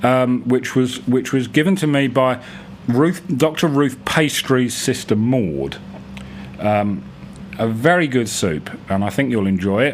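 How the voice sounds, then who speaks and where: A man's lively intonation at very even loudness, with noticeable background noise. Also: medium pitch for a man, fairly slow pace. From England. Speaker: writer and radio presenter. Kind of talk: casual radio presenter talk. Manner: hesitant, rambling.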